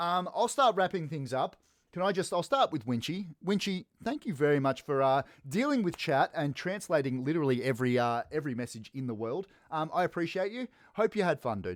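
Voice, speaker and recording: A man with an Australian accent speaks fairly quickly at a fairly high pitch, swinging very widely in pitch, with a dry, close sound and no echo. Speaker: esports caster. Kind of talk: live commentary wrap-up. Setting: live stream. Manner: casual, energetic.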